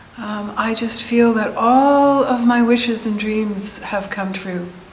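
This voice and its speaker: Fairly high in pitch with fairly even intonation, a woman's voice comes through audible room echo and noticeable background noise. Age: 70s. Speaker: meditation group attendee. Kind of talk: testimony. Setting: community center group session.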